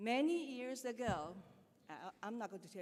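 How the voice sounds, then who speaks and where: Speaking at a moderate pace in a Chinese accent, a woman uses lively intonation. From China. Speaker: school teacher. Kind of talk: speech at school ceremony.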